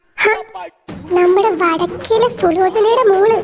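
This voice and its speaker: A woman puts on a character voice at an extremely high pitch. She goes very slowly with fairly even intonation. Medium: fan dub. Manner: chatty, dramatic.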